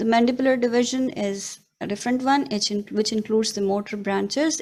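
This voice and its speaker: A woman speaks at a fairly quick pace in an unremarkable speaking voice, her pitch fairly high. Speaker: radiologist lecturer. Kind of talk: lecture.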